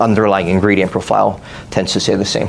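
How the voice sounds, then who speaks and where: Over noticeable background noise, a man talks very fast in a fairly low, monotone, flat voice. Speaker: psychology professor and clinical psychologist. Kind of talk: conference presentation. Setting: workshop with live audience.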